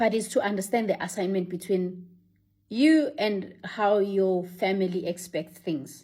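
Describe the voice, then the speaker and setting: Dark, mellow female voice at medium pitch, ordinary pitch variation, and a fairly slow pace. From Africa. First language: African language, not English. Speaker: vlogger. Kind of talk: casual monologue to camera.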